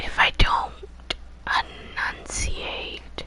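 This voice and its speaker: Whispered speech over noticeable background noise. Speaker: gaming streamer. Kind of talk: live gameplay stream. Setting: at home at night. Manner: quiet.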